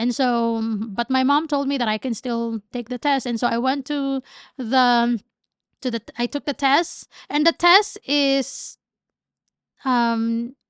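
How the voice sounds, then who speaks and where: Speaking very slowly at a high pitch with ordinary pitch variation, a woman is heard in a dry, close sound with no echo over a quiet background. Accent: Filipino. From Philippines. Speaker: entrepreneur. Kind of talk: casual chat.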